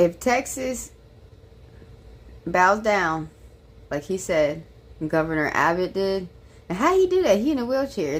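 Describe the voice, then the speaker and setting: Very wide pitch swings in a slight Southern US accent. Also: woman. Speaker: political commentary streamer. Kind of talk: casual reaction commentary.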